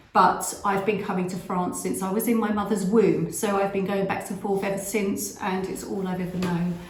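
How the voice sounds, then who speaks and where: A woman in an English accent speaks at a moderate pace and medium pitch with flat, monotone intonation and hardly any pauses, amid audible room echo and noticeable background noise. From England, with French family ties. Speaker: vlogger. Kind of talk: casual chat. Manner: hesitant, many fillers.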